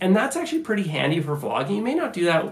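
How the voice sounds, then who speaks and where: A man talks at a very fast pace. The room echo is audible. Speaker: camera gear YouTuber. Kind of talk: tutorial. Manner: casual, conversational with fillers.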